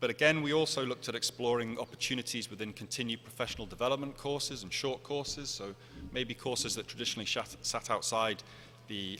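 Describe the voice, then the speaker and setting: In a British accent, a man talks at a fairly quick pace with a bright, sharp tone. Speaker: conference speaker. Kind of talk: conference presentation. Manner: fast.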